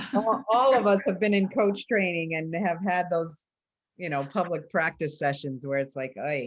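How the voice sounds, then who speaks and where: A woman talks at a moderate pace with lively intonation and a fairly low pitch, in an ordinary speaking voice. The background is quiet. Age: 60s. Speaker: coach trainer. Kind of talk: conversational panel discussion.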